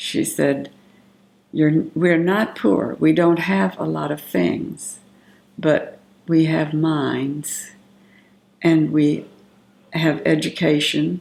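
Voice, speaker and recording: In a Southern US accent, a woman talks at a very slow pace with long, frequent pauses. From US South, Magnolia, Arkansas. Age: 70s. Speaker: family elder interviewee. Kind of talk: oral history interview. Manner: halting, with fillers.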